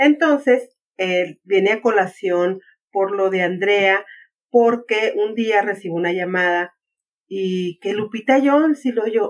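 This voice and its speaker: Speaking at a very slow pace, a woman uses a medium pitch with ordinary pitch variation. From Mexico, Ciudad Juárez (Chihuahua, border). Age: 50s. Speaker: activist. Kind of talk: casual interview.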